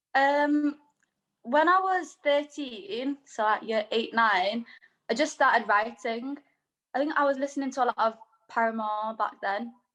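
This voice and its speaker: The speaker moves at a fairly slow pace, with lively intonation throughout. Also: woman, high pitch for a woman. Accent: Manchester. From Manchester, northern England. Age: 20s. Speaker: singer-songwriter. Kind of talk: casual interview chat. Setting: video call.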